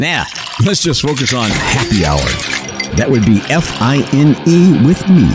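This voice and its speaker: A man speaks with long, frequent pauses. Loud background noise fills the recording. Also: fairly slow pace. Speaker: radio morning show host. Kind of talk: radio aircheck, casual DJ patter. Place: studio.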